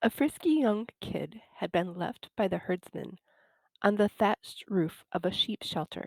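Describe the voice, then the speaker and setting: In a dark, mellow tone, a woman with an American accent speaks at a medium pitch and a very slow pace, the sound dry and close with no echo. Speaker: English teacher. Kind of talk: slow read-aloud of a fable for English learners.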